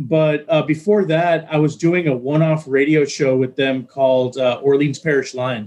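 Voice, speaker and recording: A man with an American accent and a normal speaking voice, fairly high in pitch, with ordinary pitch variation. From Texas. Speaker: radio DJ. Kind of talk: casual interview.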